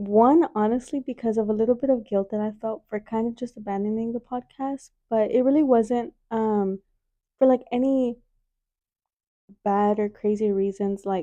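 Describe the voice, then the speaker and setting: At a moderate pace, a woman speaks with a fairly high pitch and a dark, mellow tone, the sound dry and close with no echo. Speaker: podcast host. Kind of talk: casual chat. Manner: loud; animated.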